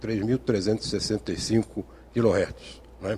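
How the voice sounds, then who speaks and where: This man talks at a fairly slow pace in a dark, mellow tone. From Brazil, Rio de Janeiro. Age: 60s. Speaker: retired engineer and writer, football fan. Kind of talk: TV interview.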